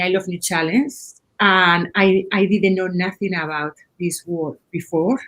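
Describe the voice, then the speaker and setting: A woman talks with a Spanish accent. Her pitch is medium, with ordinary variation. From Spain. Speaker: head of UI/UX design. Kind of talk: panel discussion. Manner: halting, repeats words.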